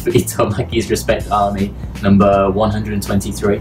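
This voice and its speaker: Fairly low-pitched man's voice over music in the background. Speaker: show co-host. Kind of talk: commentary. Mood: enthusiastic, amused. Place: bar. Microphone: camera far.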